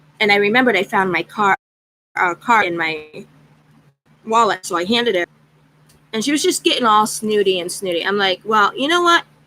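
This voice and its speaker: A loud woman at medium pitch talks at a fairly quick pace with lively intonation and long, frequent pauses, in a dry, close sound with no echo. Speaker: craft channel vlogger. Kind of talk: casual chat. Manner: animated.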